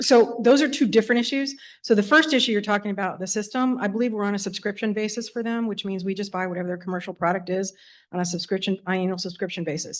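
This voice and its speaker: Against a quiet background, a woman talks very fast with ordinary pitch variation. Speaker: school division finance official. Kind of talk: public meeting report. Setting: school board meeting in auditorium.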